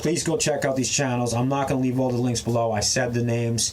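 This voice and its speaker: Medium pitch from a man, with noticeable background noise behind. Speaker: prepping and survival YouTuber. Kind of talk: casual rant to camera. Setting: outdoors in the back of a truck. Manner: fast; animated.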